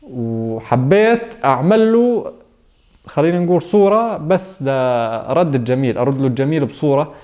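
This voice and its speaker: Very slow speech from a man, fairly high in pitch with very wide pitch swings and very even loudness, faint music in the background. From Syria, Nawa near Daraa (Hauran); Syria. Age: 20s. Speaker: painter. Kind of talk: interview testimony. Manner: halting, with fillers. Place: home room. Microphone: lapel.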